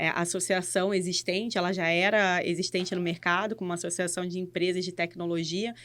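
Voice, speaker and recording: In a very clean recording with a silent background, a woman speaks in a bright, sharp tone with monotone, flat intonation. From Rio de Janeiro, Brazil. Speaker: innovation and education lead. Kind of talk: casual podcast interview. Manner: halting, with restarts and fillers.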